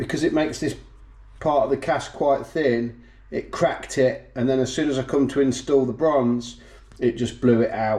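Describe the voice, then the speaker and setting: A man with a British accent, medium pitch, moderate pace and fairly even intonation. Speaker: engine builder. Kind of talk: workshop tutorial.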